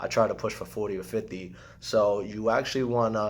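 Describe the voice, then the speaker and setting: A man with a fairly low pitch speaks in a monotone, flat intonation. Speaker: real estate agent. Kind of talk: tutorial. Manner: fast.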